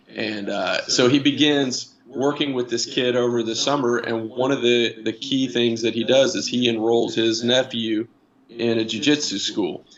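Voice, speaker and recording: Speech with an American accent and fairly even intonation comes at a moderate pace. Noticeable background noise runs underneath. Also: man, medium pitch for a man. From Indiana, US Midwest. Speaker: new jiu-jitsu student, industrial manager. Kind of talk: casual interview chat. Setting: live-streamed online call. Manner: halting, many fillers and repeats.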